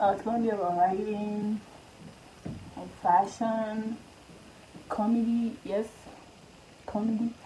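Over light background noise, a woman speaks in a fairly high, dark, mellow voice, somewhat breathy, with monotone, flat intonation. Her pace is very slow, with long, frequent pauses. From Liberia. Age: 20s. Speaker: YouTuber. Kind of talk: casual talk to camera. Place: home room. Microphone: phone near.

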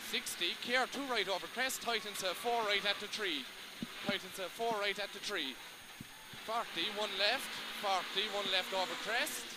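A man with a Cork accent talks at a fairly slow pace in a high pitch, with fairly even intonation and long, frequent pauses. The sound is dry with no echo, and the background noise is loud. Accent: Cork Irish. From Ireland, Cork. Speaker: rally co-driver. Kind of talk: pace note calling. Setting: in a rally car during a stage. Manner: breaks into laughs and swearing between calls. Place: car. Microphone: headset.

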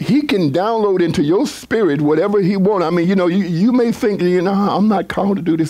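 An animated tone at a fairly quick pace over noticeable background noise. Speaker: pastor. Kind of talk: sermon.

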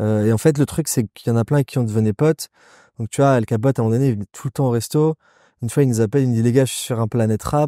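Heard dry and close with no echo, a man with a dark, mellow tone talks at a very fast pace in a medium pitch with fairly even intonation. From Nice, southern France. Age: 30s. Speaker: entrepreneur, restaurant founder. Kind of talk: casual interview chat.

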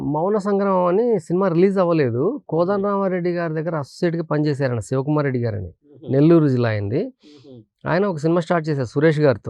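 A man talks in a normal speaking voice. His pitch is fairly high and his intonation lively. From Andhra Pradesh, Rayalaseema (Kurnool district). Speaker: film director. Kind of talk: interview.

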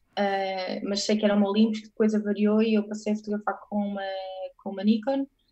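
Against a quiet background, a woman talks very fast in a flat monotone. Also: medium pitch for a woman, big swings in loudness. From Portugal. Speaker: photographer; guest. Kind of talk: casual interview. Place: home room. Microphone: earbuds.

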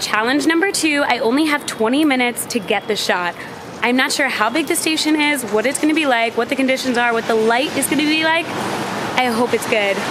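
A woman speaks at a high pitch. Noticeable background noise can be heard. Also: ordinary pitch variation, fairly quick pace. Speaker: travel vlogger. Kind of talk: casual vlog chat. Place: street. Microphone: phone near.

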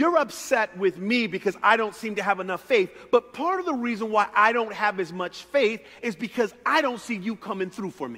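A man speaks in a raised, projected voice at a moderate pace, with hardly any pauses. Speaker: pastor. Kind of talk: sermon. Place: church. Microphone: headset.

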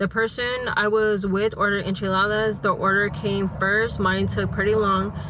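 Someone speaks at a moderate pace over light background noise, the sound dry with no echo. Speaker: vlogger. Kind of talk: casual vlog chat, reading reviews aloud. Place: car. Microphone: lapel.

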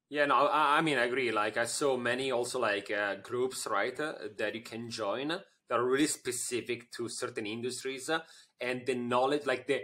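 In an Italian accent, a man speaks with a bright, sharp tone and ordinary pitch variation. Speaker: podcast host, marketing agency CEO. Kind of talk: podcast interview. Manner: halting. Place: office. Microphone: studio mic.

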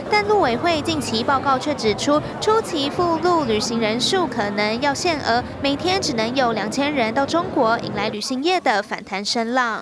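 Speaking with a Taiwanese accent at a moderate pace, this voice has lively intonation and hardly any pauses. Noticeable background noise sits behind it. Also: woman, high pitch for a woman. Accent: Taiwanese Mandarin. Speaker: TV news reporter. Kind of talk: news report narration.

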